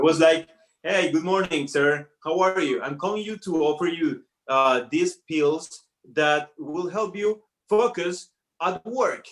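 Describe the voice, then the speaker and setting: Speaking at a fairly slow pace in a Spanish accent, a man uses ordinary pitch variation. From Colombia. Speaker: comedy student performer. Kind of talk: stand-up. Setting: online show. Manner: halting.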